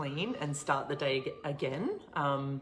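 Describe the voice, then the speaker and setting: The speaker has an Australian accent, heard over noticeable background noise. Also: woman. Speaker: online show host, coach. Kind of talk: casual livestream Q&A. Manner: casual, filler-heavy; quiet.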